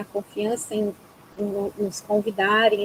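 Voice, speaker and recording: Speaking at a very slow pace, a woman uses a fairly high voice. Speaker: psychologist. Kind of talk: webinar closing remarks. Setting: video call.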